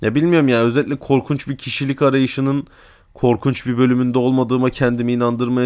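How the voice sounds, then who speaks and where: A man speaks very fast at a medium pitch. The recording is very clean, with a silent background. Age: 20s. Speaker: podcaster, university student. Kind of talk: solo monologue podcast.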